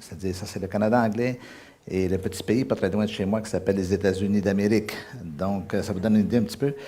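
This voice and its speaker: A man with a fairly low pitch and a dark, mellow tone at a very fast pace, with audible room echo. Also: fairly even intonation. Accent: Quebec. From Quebec. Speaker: guest preacher. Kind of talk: sermon. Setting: church service. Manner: hesitant with fillers.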